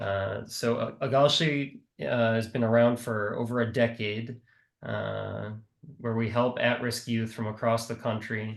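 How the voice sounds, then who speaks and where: Against a quiet background, a man with a Midwestern American accent speaks at a fairly slow pace in a monotone, flat intonation. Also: medium pitch for a man. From US Midwest, Milwaukee, Wisconsin. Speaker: nonprofit worker for youth surf program. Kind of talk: panel discussion on video call. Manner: hesitant with many fillers.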